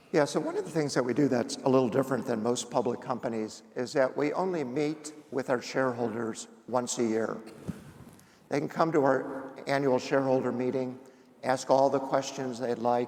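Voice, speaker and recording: Using a normal speaking voice, a man with an American accent speaks at a medium pitch with fairly even intonation. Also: moderate pace. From Indiana. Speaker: company founder and executive chairman. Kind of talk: on-stage interview.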